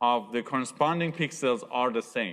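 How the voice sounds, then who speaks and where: Fairly slow speech from a man with a non-native accent. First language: not English. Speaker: university lecturer. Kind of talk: lecture.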